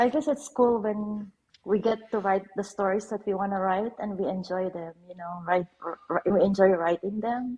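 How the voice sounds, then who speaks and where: At a moderate pace, a woman with a Filipino accent talks at medium pitch with ordinary pitch variation and big swings in loudness. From Philippines. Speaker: author. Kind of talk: casual chat. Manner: halting.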